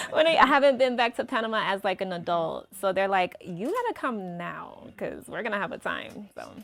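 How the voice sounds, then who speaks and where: Barely pausing, a woman with an American accent speaks with big swings in loudness over noticeable background noise. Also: fairly high pitch for a woman, lively intonation, fairly quick pace. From New York (Brooklyn), then Atlanta from 12. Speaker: singer. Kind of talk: interview.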